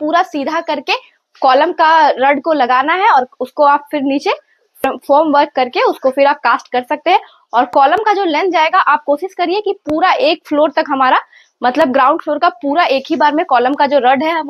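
Here a woman with a high pitch speaks at a moderate pace. The sound is dry with no echo, and the background is quiet. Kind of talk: tutorial. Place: home room. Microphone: lapel.

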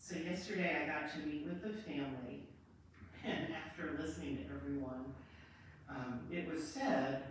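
With strong room echo and light background noise, the speech moves at a fairly slow pace. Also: woman. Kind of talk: eulogy. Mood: gentle, solemn. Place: church. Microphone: camera far.

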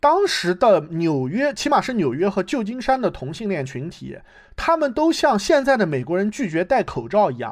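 A man's high-pitched voice swings very widely in pitch at a moderate pace on a very clean recording with a silent background. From United States. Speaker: theatre enthusiast guest. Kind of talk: casual discussion. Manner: halting, many fillers.

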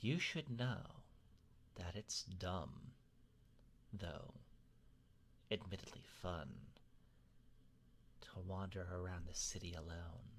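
A put-on character voice comes at a fairly slow pace with long, frequent pauses, over clear background noise. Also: man, very deep, low pitch for a man. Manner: courteous, playful, wistful.

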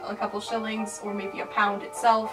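At a moderate pace, a woman talks with music clearly audible behind her. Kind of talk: casual tutorial vlog. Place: home room. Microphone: camera far.

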